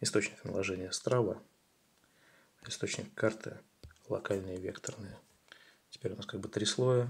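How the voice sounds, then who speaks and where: Speaking at a moderate pace with long, frequent pauses, a man uses a fairly low, somewhat breathy voice and fairly even intonation. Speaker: tutorial video creator. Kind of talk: tutorial.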